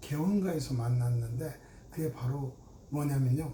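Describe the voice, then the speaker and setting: A man talks at a very slow pace, and audible room echo surrounds his voice. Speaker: gynecologist. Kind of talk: medical explainer talk. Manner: casual with fillers.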